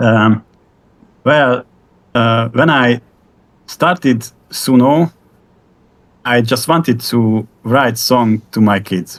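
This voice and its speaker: In a Hungarian accent, a man with a medium pitch and ordinary pitch variation speaks very slowly and with very even loudness, leaving long, frequent pauses. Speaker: AI music creator. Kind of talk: interview. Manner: halting, many repetitions.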